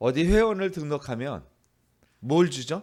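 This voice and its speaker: Here a man talks at a fairly high pitch. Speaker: pastor. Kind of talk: sermon. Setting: church. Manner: halting, many fillers.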